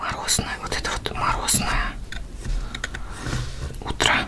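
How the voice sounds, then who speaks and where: Someone soft-spoken whispers at a very slow pace. Loud background noise fills the recording. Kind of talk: tutorial. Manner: soft ASMR whisper. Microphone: camera far.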